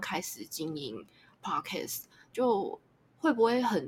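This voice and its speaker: A woman speaks at a very slow pace in a somewhat breathy voice, her pitch swinging very widely. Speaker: podcast host. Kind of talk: casual interview chat. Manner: halting.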